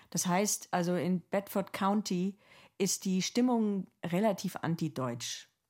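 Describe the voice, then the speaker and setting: In a very clean recording with a silent background, a woman of medium pitch speaks at a very slow pace, her loudness very even and her pitch variation ordinary. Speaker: journalist and podcast co-host. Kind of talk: casual conversation with co-host.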